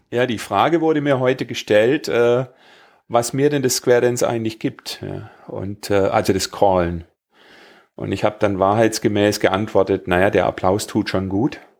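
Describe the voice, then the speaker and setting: In a very clean recording with a silent background, a man with an ordinary speaking voice talks at a moderate pace, with medium pitch and ordinary pitch variation. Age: 50s. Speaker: podcast host, square dance caller. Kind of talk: casual chat.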